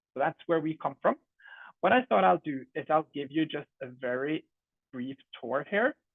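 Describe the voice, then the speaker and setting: Speaking with a Norwegian accent, a man uses a fairly high pitch and long, frequent pauses. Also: moderate pace. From Norway. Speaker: edtech company co-founder. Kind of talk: product presentation.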